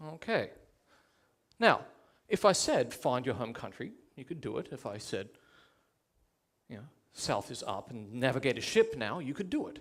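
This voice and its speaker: A man speaks with an Australian accent at a moderate pace, leaving long, frequent pauses. His pitch swings very widely and his loudness swings a lot. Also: medium pitch for a man. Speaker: public education coordinator. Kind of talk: TEDx talk.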